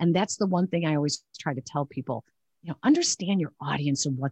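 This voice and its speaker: A woman with a Chicago accent speaks with ordinary pitch variation in a dry, close sound with no echo. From Chicago area. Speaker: sportscaster. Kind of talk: interview.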